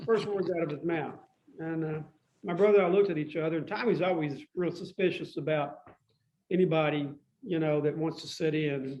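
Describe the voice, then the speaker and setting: Speech in a Tennessee accent at a moderate pace with ordinary pitch variation. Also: man. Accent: Southern US (Tennessee). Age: 70s. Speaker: musician. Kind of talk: casual chat.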